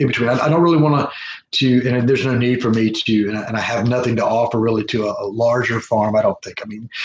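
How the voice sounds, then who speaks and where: A man speaks very fast at medium pitch. His voice is somewhat breathy and his intonation fairly even. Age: 60s. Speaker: small farmer and permaculture mentor. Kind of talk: live video presentation. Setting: live stream. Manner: halting, many fillers and restarts.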